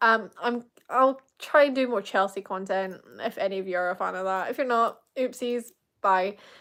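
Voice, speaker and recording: The speaker has a British accent and talks at a moderate pace with ordinary pitch variation. The recording is very clean, with a silent background. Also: woman. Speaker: Eurovision fan YouTuber. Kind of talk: live reaction stream. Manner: animated.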